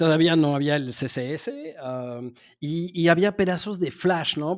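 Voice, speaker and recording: A man with a fairly high pitch speaks using lively intonation. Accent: slight French. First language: French (speaking Spanish). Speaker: SEO agency founder. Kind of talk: interview. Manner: halting, many fillers and repetitions.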